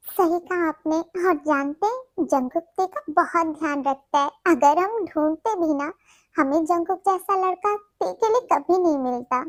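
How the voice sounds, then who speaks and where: In a put-on character voice, a woman speaks at an extremely high pitch with ordinary pitch variation. Her moderate pace has hardly any pauses, and the sound is dry and close with no echo. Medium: read story. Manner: sweet, cheerful.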